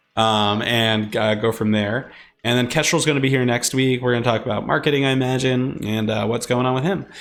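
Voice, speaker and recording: Speaking fairly quickly with a New Jersey accent, a man keeps a medium pitch and very even loudness. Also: fairly even intonation. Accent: New Jersey American. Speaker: streamer and podcast host. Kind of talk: casual livestream chat. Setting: live stream. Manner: fast.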